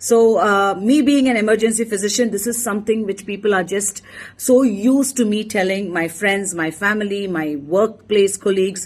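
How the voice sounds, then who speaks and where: At a moderate pace and with hardly any pauses, a woman with a Tamil accent speaks at a medium pitch with ordinary pitch variation. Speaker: emergency physician. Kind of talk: motivational talk.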